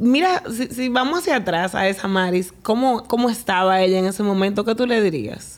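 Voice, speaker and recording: With noticeable background noise behind her, a woman speaks in a fairly high pitch with lively intonation, very even loudness and hardly any pauses. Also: moderate pace. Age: 30s. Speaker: podcast host. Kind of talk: casual interview.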